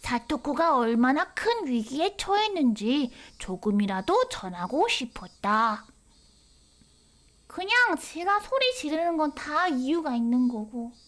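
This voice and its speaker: A woman's high voice at a very slow pace, with very wide pitch swings and very even loudness, on a very clean recording with a silent background. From Korea. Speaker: VTuber game streamer. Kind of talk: game stream commentary with reading aloud. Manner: animated.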